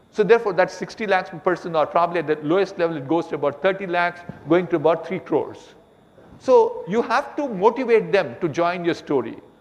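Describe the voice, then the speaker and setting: A man speaks at a fairly quick pace with a high pitch and lively intonation. Noticeable background noise can be heard. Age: 70s. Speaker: business executive and entrepreneur. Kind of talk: on-stage conversation.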